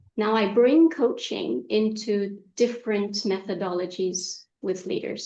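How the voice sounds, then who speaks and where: Using an American accent, a woman speaks at a fairly slow pace with hardly any pauses. Her dark, mellow voice sits at medium pitch with ordinary pitch variation. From Egypt, raised partly in Saudi Arabia. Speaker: executive coach. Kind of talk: interview.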